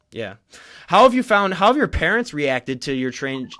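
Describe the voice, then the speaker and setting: A man's fairly high voice at a fairly quick pace. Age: 20s. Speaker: podcast host. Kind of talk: casual podcast interview.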